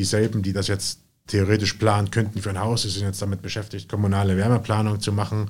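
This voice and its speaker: A man's somewhat breathy, fairly low voice at a very fast pace, in a monotone, flat intonation, on a very clean recording with a silent background. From Jena, Thuringia, Germany. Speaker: real estate investor and company founder. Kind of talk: interview conversation.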